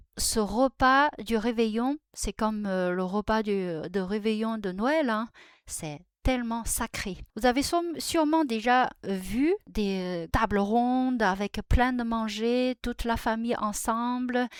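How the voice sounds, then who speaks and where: A woman's very slow speech with ordinary pitch variation, dry and close with no echo, on a very clean recording with a silent background. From China. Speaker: Chinese language and culture youtuber. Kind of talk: tutorial. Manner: halting, many hesitations.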